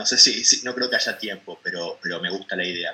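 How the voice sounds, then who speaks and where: Noticeable noise fills the background. A man does the talking. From Argentina. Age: 40s. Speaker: poet and translator. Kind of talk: interview conversation. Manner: halting.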